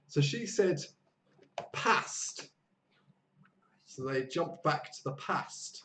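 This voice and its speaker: A man puts on a character voice in a northern English accent, raspy and fairly high-pitched with lively intonation. He goes at a very slow pace with long, frequent pauses and big swings in loudness. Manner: demonstrative.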